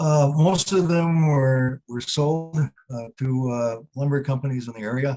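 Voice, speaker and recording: A man with an Upper Midwest accent speaks at a fairly slow pace with hardly any pauses, a fairly high pitch, ordinary pitch variation and a dark, mellow tone, in a dry, close sound with no echo. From northern Wisconsin. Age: 80s+. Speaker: retired history teacher. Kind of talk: Q&A after a webinar talk. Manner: halting.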